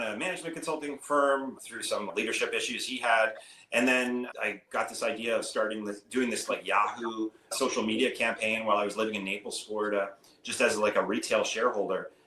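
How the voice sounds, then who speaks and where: A man with a Canadian accent at a fairly quick pace, noticeable background noise behind him. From Canada. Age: 50s. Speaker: hedge fund manager. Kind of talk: interview. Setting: podcast. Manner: casual, many fillers.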